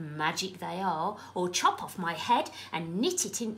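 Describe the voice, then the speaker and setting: Over clear background noise, a woman does a croaky, put-on character voice. She keeps a medium pitch, a moderate pace and ordinary pitch variation. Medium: read story.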